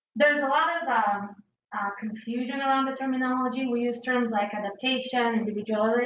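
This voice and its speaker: Speaking fairly quickly, a woman uses a high pitch. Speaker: researcher lecturer. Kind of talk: lecture.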